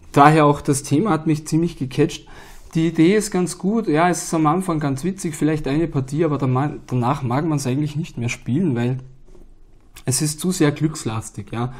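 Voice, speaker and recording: A man's somewhat breathy voice at a fairly high pitch, with ordinary pitch variation and a moderate pace. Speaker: board game YouTuber. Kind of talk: solo video monologue. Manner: casual, filler-heavy.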